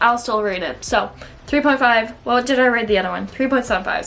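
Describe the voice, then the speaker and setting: There is noticeable background noise as a woman talks with a Minnesotan accent. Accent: Minnesota. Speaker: book vlogger. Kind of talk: casual book review vlog. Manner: chatty, casual with frequent 'like'.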